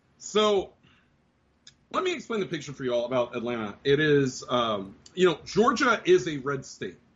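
Shouting loudly, a man speaks at a moderate pace with very wide pitch swings. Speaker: podcast host. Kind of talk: casual banter podcast. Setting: live stream. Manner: yells into mic.

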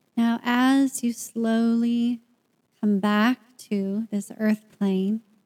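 A woman with a fairly high pitch speaks in a dark, mellow, soothing, calm tone, her intonation monotone and flat, the sound dry and close with no echo. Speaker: podcast host and meditation guide. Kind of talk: guided meditation. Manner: slow, soothing, calm and gentle, with long pauses.

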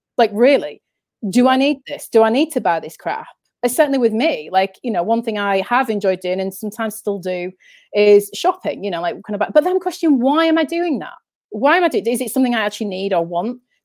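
With a northern English accent, a woman talks at a very fast pace in a fairly high pitch, her pitch swinging very widely. The recording is very clean, with a silent background. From Yorkshire, northern England. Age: 30s. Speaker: spiritual speaker and author. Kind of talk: casual interview. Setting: live stream.

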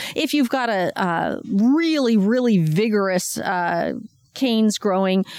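With lively intonation, a woman talks fairly slowly. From Washington State. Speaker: master gardener. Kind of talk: casual interview. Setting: outdoors in garden. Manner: hesitant, many fillers.

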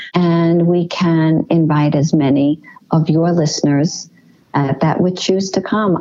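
A woman's fairly low voice at a fairly slow pace, fairly even in intonation, with music playing behind her. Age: 60s. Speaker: eating disorder recovery coach. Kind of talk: interview.

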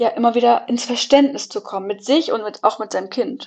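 Her pace moderate and her pitch variation ordinary, a woman is speaking. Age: 30s. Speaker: family coach in training and mother. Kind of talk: podcast interview.

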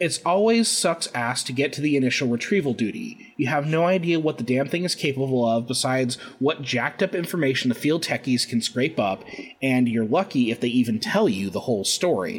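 Putting on a gruff character voice, a man talks at a fairly quick pace and medium pitch with very wide pitch swings. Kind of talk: dramatic reading of an interview log. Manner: gruff, profane, bitter.

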